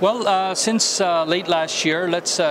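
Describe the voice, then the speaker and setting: The sound is dry with no echo, with noticeable background noise. A man speaks at a fairly slow pace. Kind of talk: interview answer. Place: hall. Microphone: handheld.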